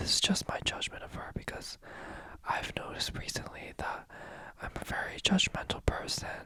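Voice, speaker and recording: A man whispers at a moderate pace. There is noticeable background noise. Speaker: youtuber. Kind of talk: asmr movie review. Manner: whispering.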